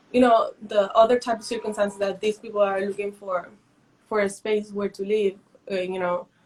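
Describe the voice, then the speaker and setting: At a moderate pace, a woman with a Mexican accent talks in a monotone, flat intonation at a medium pitch. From northern Mexico (Matamoros). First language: Spanish. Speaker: visual artist. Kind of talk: interview. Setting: Instagram Live video stream. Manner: halting.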